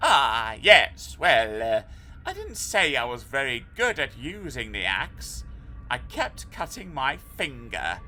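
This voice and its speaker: A man uses a put-on character voice at a fairly slow pace. Clear background noise is present. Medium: read story. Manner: fussy, old-fashioned exclamations.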